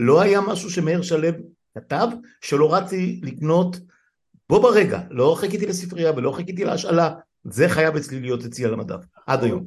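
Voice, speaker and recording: A man's high-pitched voice at a moderate pace, lively in intonation, with long, frequent pauses. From Israel, Jezreel Valley (Afula). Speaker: podcast host. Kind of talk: casual chat.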